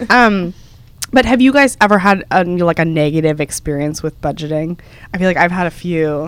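A woman talks at a moderate pace in an unremarkable speaking voice. Her pitch sits fairly low. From Texas. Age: 20s. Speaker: podcast co-host, travel editor. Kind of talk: casual chat.

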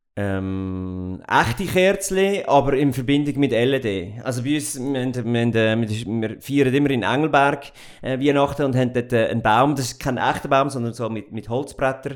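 A man at a moderate pace, with ordinary pitch variation and hardly any pauses. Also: medium pitch for a man. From Central Switzerland (Goldau, Schwyz). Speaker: company owner and managing director. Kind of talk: interview. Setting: office. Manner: hesitant, many fillers.

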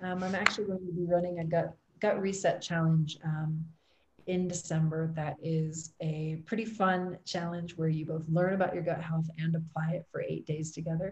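A woman with a Midwestern US accent speaks at a moderate pace in a somewhat breathy, fairly low voice with monotone, flat intonation. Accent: US Midwest. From Ohio, US. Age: 30s. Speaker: health coach. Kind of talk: interview.

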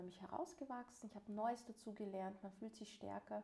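An unremarkable speaking voice from a woman at a medium pitch and fairly quick pace. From Vienna, Austria. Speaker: life and social counsellor, podcast co-host. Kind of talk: casual conversation. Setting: shared practice office.

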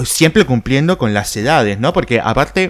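There is music in the background as a man speaks. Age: 30s. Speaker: podcast host. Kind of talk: casual solo monologue. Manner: animated.

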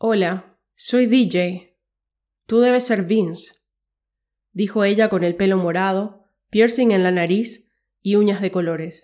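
In a very clean recording with a silent background, a woman talks at a very slow pace in a medium pitch, her tone dark and mellow and her intonation fairly even. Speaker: podcast host and story narrator. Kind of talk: scripted dramatic narration of a short story, read aloud.

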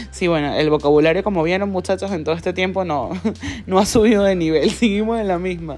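Speaking at a very fast pace, a woman with a Venezuelan accent keeps a medium pitch and ordinary pitch variation. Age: 30s. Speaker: solo podcaster. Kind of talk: casual monologue.

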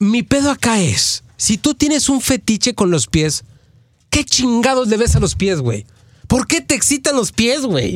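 An extremely high-pitched man's voice at a fairly slow pace, lively in intonation and very even in loudness, with dry, close sound, no echo and a very clean recording over a silent background. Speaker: radio host. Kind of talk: casual chat. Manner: animated.

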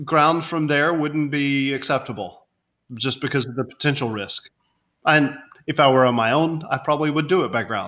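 Bright and sharp in tone, a man speaks at a moderate pace with a fairly high pitch and ordinary pitch variation. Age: 40s. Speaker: insurance company founder. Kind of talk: interview.

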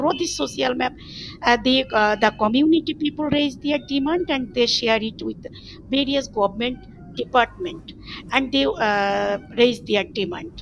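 With a Bengali accent, a woman speaks at a high pitch and a moderate pace, her intonation lively and her pauses long and frequent. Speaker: NGO project coordinator. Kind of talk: panel discussion. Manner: halting, many fillers.

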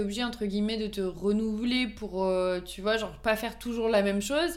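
Fairly quick speech from a woman with a fairly high pitch and ordinary pitch variation, with audible room echo. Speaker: volunteer firefighter and amateur pastry baker. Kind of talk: casual chat.

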